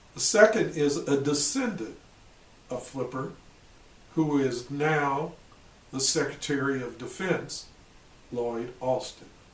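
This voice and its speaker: This speaker has an American accent and talks at a very slow pace with long, frequent pauses. Pitch varies in an ordinary way, and room echo is audible. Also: man, fairly high pitch for a man. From US Midwest, Illinois. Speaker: retired army officer. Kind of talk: personal testimony.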